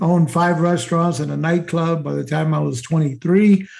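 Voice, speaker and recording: A man speaks with a fairly high pitch. He has an unremarkable speaking voice. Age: 60s. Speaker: marketing entrepreneur. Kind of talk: interview.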